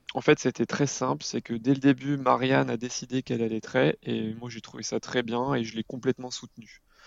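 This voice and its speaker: Speaking at a fairly quick pace, a man with a medium pitch keeps his intonation fairly even while his loudness swings widely. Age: 30s. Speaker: parenting blogger and father. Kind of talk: podcast interview. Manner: halting, with frequent hesitations.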